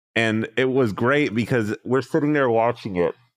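At a moderate speed, a man talks with ordinary pitch variation in a plain, everyday voice. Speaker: podcast host. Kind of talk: casual chat about wrestling.

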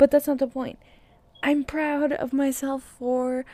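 A dark, mellow tone at a moderate pace. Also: woman. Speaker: solo podcaster. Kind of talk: casual late-night monologue. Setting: home, alone at night by candle. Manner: halting, many fillers; giggly, frequent laughter.

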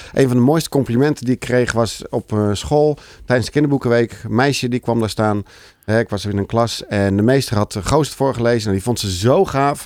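In dry, close sound with no echo, a man with an unremarkable speaking voice talks at a fairly quick pace in a medium pitch with ordinary pitch variation. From South Holland, Netherlands (Alphen aan de Rijn area). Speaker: children's book author. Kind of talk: casual chat.

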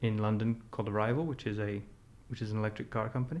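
This man has an American accent and an ordinary speaking voice. His pitch is fairly low, with fairly even intonation. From Scotland, partly raised in the US. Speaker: chef and food technology expert. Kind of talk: casual interview.

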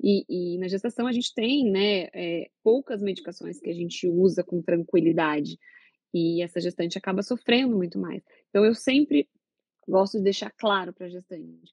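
A woman with an ordinary speaking voice talks at a moderate pace, her medium pitch showing ordinary pitch variation. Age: 30s. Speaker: gynecologist and obstetrician. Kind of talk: casual chat.

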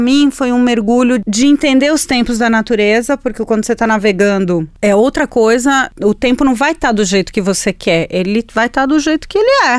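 Barely pausing, a woman talks at a fairly quick pace with a high pitch, lively intonation and very even loudness, the sound dry and close with no echo. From Chile. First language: Spanish (speaking Portuguese). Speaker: environmental journalist. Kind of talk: interview. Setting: studio.

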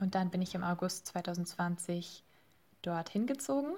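The recording is very clean, with a silent background. A woman speaks at a medium pitch in a somewhat breathy voice. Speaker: master's student, podcast team member. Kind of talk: interview.

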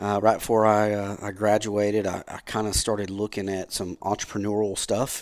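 This man has a Southern US accent. His pitch sits fairly low. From US South, Powder Springs, Georgia. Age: 40s. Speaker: insurance agency owner. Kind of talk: casual chat.

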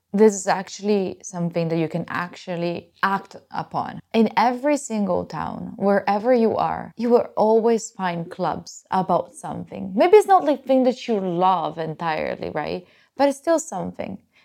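A woman talks with an Italian accent. Her intonation is lively. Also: medium pitch for a woman, moderate pace. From Italy. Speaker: podcast host. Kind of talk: casual solo talk.

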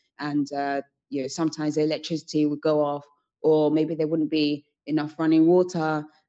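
A woman with a British accent speaks quickly enough, fairly so, in a very deep, low pitch, her dark, mellow tone flat and monotone against a quiet background. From UK, Sierra Leonean family. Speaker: entrepreneur, founder of a women's organization. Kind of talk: podcast interview.

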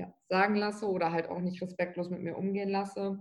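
The delivery moves at a moderate pace. Its intonation is monotone and flat. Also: woman. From Lower Saxony, Germany (Bückeburg). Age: 20s. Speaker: trainee office clerk and tattooed model. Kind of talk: interview.

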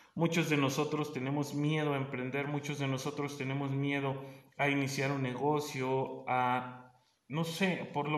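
A man's fairly high voice in a central Mexican accent, monotone and flat, at a fairly slow pace, with audible room echo. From Mexico, State of Mexico. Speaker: business and life coach, forestry engineer. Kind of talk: podcast monologue. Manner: casual, hesitant with fillers.

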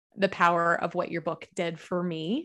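A woman speaks at medium pitch and a fairly quick pace. The background is quiet. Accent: Southern US. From Kentucky, US South. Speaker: author and speaker. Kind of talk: casual interview.

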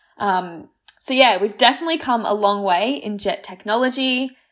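A woman with an Australian accent and fairly even intonation, on a very clean recording with a silent background. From born in Croatia, raised in Australia. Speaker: science radio co-host. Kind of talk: casual chat.

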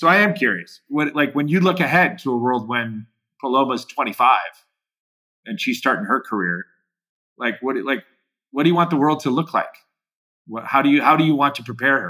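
A man's fairly high voice with an American accent, bright and sharp, lively in intonation, at a moderate pace with long, frequent pauses, on a very clean recording over a silent background.

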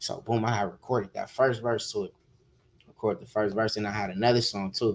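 Fairly quick and fairly even, a man with an American accent speaks at a fairly low pitch. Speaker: music producer and rapper. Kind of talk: casual interview chat.

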